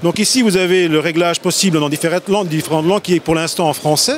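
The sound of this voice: Faint background noise sits behind a man talking fast in a fairly high pitch with ordinary pitch variation.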